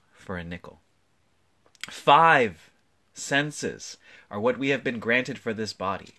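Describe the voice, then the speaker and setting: In a gentle yet bright, sharp tone with vocal fry, the voice moves through very wide pitch swings at a fairly slow pace on a very clean recording with a silent background. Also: man. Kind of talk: poetry reading, original spoken word poem. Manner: reflective, gentle, with soft laughs between lines; measured, deliberate, lyrical.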